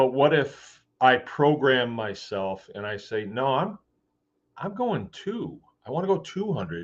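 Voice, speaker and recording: This man talks at a fairly slow pace with a Michigan accent. His pitch moves in very wide swings. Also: medium pitch for a man. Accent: US Midwest (Michigan). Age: 60s. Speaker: farmer and livestream host. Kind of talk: casual live chat. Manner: conversational, rambling pace with fillers.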